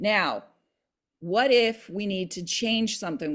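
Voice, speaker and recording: Using a normal speaking voice, a woman talks at a fairly slow pace with lively intonation on a very clean recording with a silent background. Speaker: real estate agent and video tutor. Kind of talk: tutorial.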